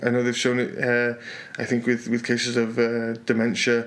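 A man speaks at a medium pitch with a Yorkshire accent, and there is noticeable background noise. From northern England, Yorkshire. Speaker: podcast co-host, salsa teacher and programmer. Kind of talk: casual chat. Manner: halting, many repetitions and fillers.

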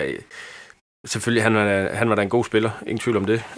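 Pitch shifts in an ordinary way. The background is silent and the recording very clean. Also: man. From Haderslev area, Southern Jutland, Denmark. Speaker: football fan. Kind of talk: casual chat. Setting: studio. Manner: halting.

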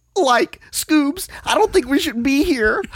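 In a cartoonish character voice, a man speaks at an extremely high pitch and a fairly slow pace. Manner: nervous, hesitant.

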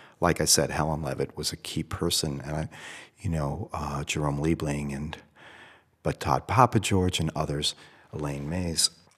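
A man's very deep, low pitch, ordinary pitch variation and moderate pace. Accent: American. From US Northeast, Boston. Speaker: photographer and MFA program director. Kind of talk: interview. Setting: hotel room.

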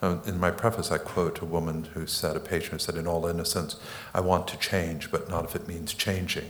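A man's very deep, low, monotone, flat voice at a fairly quick pace, with audible room echo and noticeable background noise. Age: 60s. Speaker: psychoanalyst and author. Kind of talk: on-stage interview.

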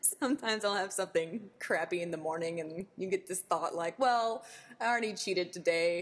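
An unremarkable speaking voice from a woman, medium in pitch with ordinary variation, at a fairly quick pace. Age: 20s. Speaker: bikini fitness competitor. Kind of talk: casual chat.

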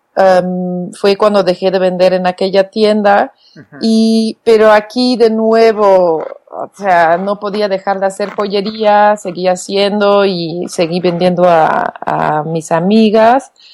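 With a Flemish accent, a woman speaks at a medium pitch and a very slow pace. Her intonation is fairly even, and she hardly pauses at all. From Belgium, Flemish-speaking. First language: Flemish (speaking Spanish). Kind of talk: interview.

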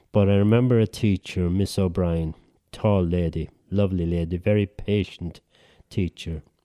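Recorded very cleanly against a silent background, a man's very deep, low voice has a dark, mellow tone and a dry, close sound with no echo. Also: fairly even intonation, moderate pace. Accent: Irish. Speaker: writer. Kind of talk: casual chat.

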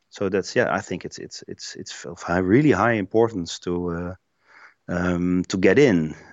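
In a Dutch accent, a man speaks at a fairly slow pace. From Netherlands, Eindhoven. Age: 50s. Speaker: place branding marketer. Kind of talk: interview conversation. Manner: halting, many fillers and repetitions.

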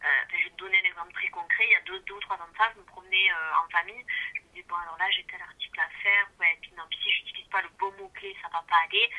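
A woman talking at a very fast pace, with big swings in loudness. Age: 30s. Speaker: beauty blogger and web writer. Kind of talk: interview. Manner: hesitant, many fillers.

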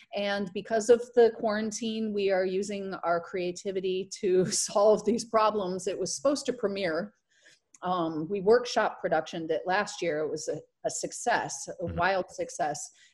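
At a moderate pace, a woman uses an ordinary speaking voice pitched at a medium level. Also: ordinary pitch variation. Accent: American. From US Midwest, southern Michigan. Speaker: actress and burlesque performer. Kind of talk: casual interview.

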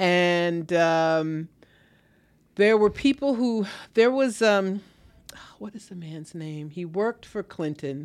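On a very clean recording with a silent background, a woman with a fairly low pitch speaks very slowly with lively intonation and long, frequent pauses. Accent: New York. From New York area (New Rochelle). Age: 60s. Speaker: writer and editor. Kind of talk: interview. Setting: studio.

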